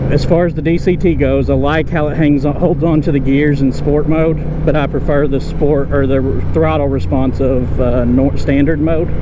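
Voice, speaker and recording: A man's fairly high-pitched voice with ordinary pitch variation and very even loudness, amid noticeable background noise and audible room echo. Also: moderate pace. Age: 60s. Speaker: motorcycle vlogger. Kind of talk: ride-along review vlog. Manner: casual, thinking aloud.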